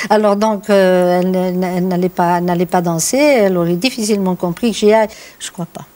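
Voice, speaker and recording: A woman's dark, mellow voice at a fairly quick pace. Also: medium pitch for a woman, fairly even intonation. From France, Limousin. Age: 60s. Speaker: farmer and poet. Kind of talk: interview. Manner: hesitant, with fillers.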